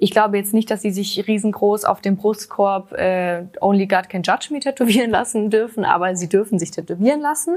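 A woman of medium pitch with a plain, everyday voice, hardly any pauses and ordinary pitch variation. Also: fairly quick pace. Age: 20s. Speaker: royals expert, journalist. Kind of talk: casual chat.

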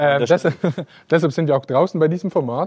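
A man with a fairly high pitch and a dark, mellow tone. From Switzerland. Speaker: podcast host. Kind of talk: casual chat. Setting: outdoors in vineyards.

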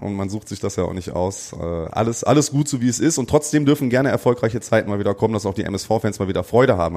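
A man talks at a very fast pace and a fairly low pitch, with ordinary pitch variation and music in the background. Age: 30s. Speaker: amateur footballer. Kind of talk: casual chat.

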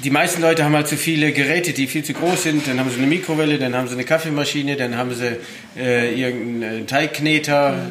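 Over noticeable background noise and audible room echo, a man speaks at a very fast pace with a fairly high pitch and fairly even intonation. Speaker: chef. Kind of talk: interview. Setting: studio kitchen.

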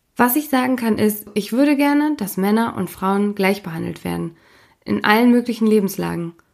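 Lively intonation and a moderate pace from a woman, her pitch fairly high, in a plain, everyday voice. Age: 30s. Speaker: podcast host. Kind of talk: interview; scripted narration.

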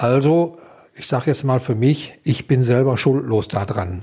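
A man's somewhat breathy voice sits at a medium pitch with ordinary pitch variation. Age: 60s. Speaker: liver transplant recipient, retiree. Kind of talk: interview testimony.

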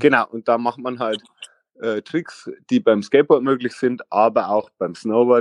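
A man's medium-pitched voice at a moderate pace, with ordinary pitch variation and a dry, close sound free of echo. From Lower Bavaria, Vilshofen. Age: 30s. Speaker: former streetboard world champion. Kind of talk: interview. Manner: halting, many fillers.

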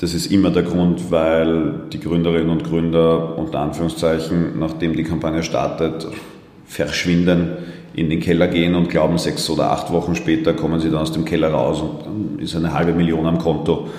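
Over noticeable background noise and audible room echo, a man with a very deep, low pitch speaks at a moderate pace in a monotone, flat way. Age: 30s. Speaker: fintech company co-founder. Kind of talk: interview.

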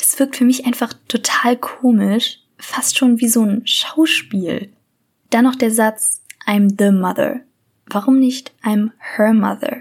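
A woman speaks at a very slow pace with fairly even intonation. Her pitch is high. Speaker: true crime podcaster. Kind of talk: true crime storytelling.

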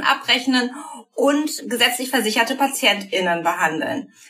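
With noticeable background noise, a raised, projected voice comes through at a fairly slow pace with lively intonation. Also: woman. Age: 30s. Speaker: psychotherapist. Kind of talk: interview.

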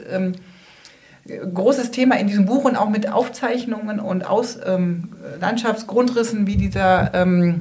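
A woman's fairly slow speech with ordinary pitch variation and audible room echo. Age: 40s. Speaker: residents' association chair. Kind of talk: interview. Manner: hesitant.

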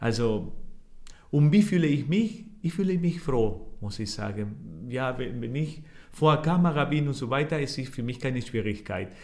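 A man with a Spanish accent, fairly high pitch, vocal fry and very wide pitch swings, at a moderate pace with audible room echo. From Argentina. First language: Spanish (speaking German). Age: 40s. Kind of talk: interview. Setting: office. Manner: halting.

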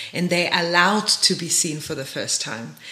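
A woman keeps her intonation fairly even as noticeable background noise carries on around her. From Germany. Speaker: podcast host. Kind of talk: interview.

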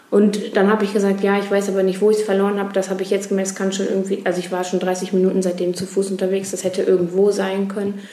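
Over noticeable background noise and audible room echo, a woman rushes along at a very fast pace with hardly any pauses and a monotone, flat intonation. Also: medium pitch for a woman. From Germany, Ruhr area (Duisburg). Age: 20s. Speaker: youth association volunteer, pilgrim. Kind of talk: interview. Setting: pilgrim centre at a festival.

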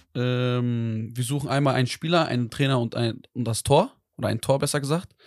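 In an ordinary speaking voice, a man talks at a moderate pace and medium pitch with fairly even intonation, over a quiet background. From Iserlohn near Dortmund, Germany. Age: 20s. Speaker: content creator and videographer. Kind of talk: casual chat.

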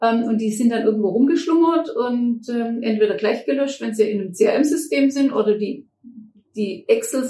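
A dark, mellow tone at a moderate pace. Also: woman. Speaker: management consultant, company director. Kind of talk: interview conversation.

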